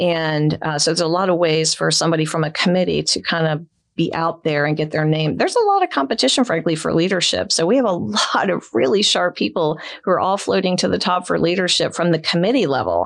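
A woman talks at a very fast pace with hardly any pauses, her loudness very even. Her pitch is fairly low, with vocal fry. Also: ordinary pitch variation. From Florida, St. Petersburg. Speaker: elder law attorney. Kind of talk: casual interview.

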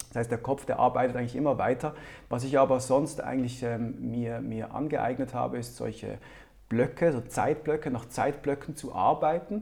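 A man speaks at a medium pitch and moderate pace with vocal fry and fairly even intonation. The recording is very clean with a silent background. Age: 30s. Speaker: entrepreneur. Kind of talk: interview.

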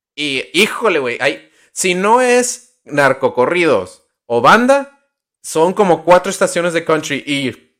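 Speaking at a very slow pace, a man uses a high pitch with very wide pitch swings. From Nuevo Laredo / Laredo border. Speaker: podcast co-host. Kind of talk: casual chat.

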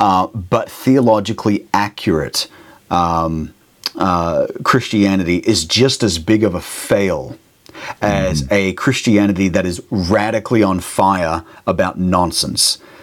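A fairly low-pitched man with an Australian accent and ordinary pitch variation. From Australia, Brisbane area. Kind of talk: interview, casual chat. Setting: remote call, late at night.

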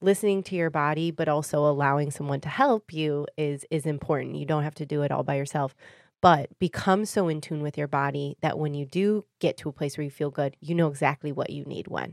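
A woman with a Michigan accent and very deep, low pitch, fairly quick in pace, with fairly even intonation on a very clean recording with a silent background. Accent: Michigan (Inland North) American. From Michigan, Detroit area (Warren). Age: 30s. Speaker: wellness practitioner. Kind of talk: casual interview.

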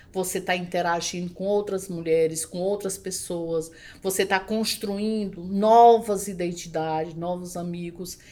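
A woman with a dark, mellow tone speaks at a fairly slow pace and medium pitch, her intonation monotone and flat, with hardly any pauses. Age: 50s. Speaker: educator and entrepreneur. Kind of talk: interview.

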